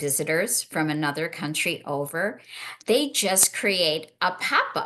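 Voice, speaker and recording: Against a quiet background, a woman speaks at a fairly slow pace in a very deep, low pitch with a bright, sharp tone. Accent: American. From US, Chicago. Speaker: panel moderator. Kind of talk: panel discussion. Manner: animated.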